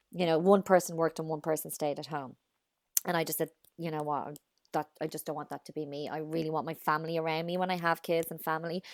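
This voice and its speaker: Her pitch very deep and low, a woman speaks in an Irish accent at a very fast pace with monotone, flat intonation. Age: 30s. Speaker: mother and social media personality. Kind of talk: casual chat.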